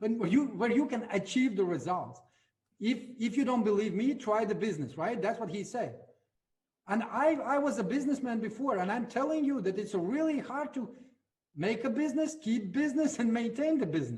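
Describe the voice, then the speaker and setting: A man in a Latvian accent talks at a fairly quick pace with lively intonation and an extremely high pitch, with audible room echo. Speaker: network marketing leader. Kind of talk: motivational talk.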